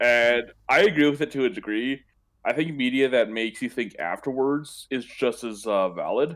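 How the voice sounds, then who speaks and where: On a very clean recording with a silent background, a man speaks in an unremarkable speaking voice at medium pitch, with a moderate pace and ordinary pitch variation. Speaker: podcast co-host. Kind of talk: casual chat. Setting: live stream.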